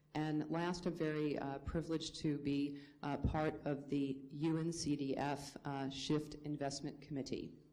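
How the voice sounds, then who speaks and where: Speaking with an American accent and hardly any pauses, a woman talks at a fairly slow pace in a very deep, low pitch with monotone, flat intonation, over noticeable background noise and audible room echo. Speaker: remittance industry consultant. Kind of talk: conference panel introduction. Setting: conference panel with audience.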